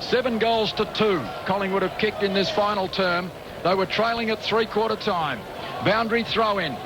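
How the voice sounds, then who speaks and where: A man's high-pitched voice with fairly even intonation and very even loudness, over noticeable background noise. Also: moderate pace. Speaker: sports commentator. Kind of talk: radio sports commentary. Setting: radio broadcast.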